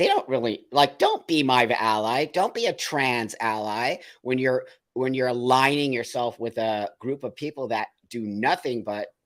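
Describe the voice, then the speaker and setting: Recorded very cleanly against a silent background, a man speaks at a moderate pace in an unremarkable speaking voice with ordinary pitch variation. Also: medium pitch for a man. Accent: American. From New York. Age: 60s. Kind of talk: casual chat. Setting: live show.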